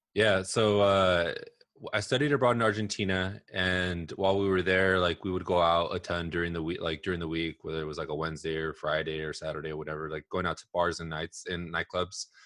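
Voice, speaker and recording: Over a quiet background, a man with a very deep, low pitch and an American accent talks fairly quickly with ordinary pitch variation. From Southern California (Los Angeles area). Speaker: marketing executive and author. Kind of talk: interview.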